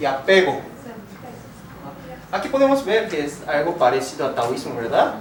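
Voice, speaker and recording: Amid noticeable background noise and audible room echo, a man with a high pitch and very wide pitch swings talks at a fairly slow pace. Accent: Korean. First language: Korean (speaking Spanish). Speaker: philosophy teacher. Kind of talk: lecture.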